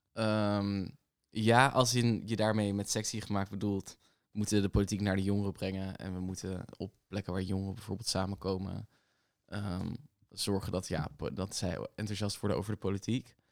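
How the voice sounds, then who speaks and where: A man speaks at a moderate pace in a normal speaking voice. His pitch is fairly low, with fairly even intonation. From The Hague, Netherlands. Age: 20s. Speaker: barista and youth activist. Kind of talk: casual chat.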